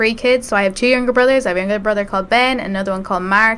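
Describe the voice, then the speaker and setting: In an Irish Midlands accent, a woman speaks at a fairly high pitch with a bright, sharp tone and fairly even intonation. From Ireland, rural County Westmeath. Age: 20s. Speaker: student election candidate. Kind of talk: interview.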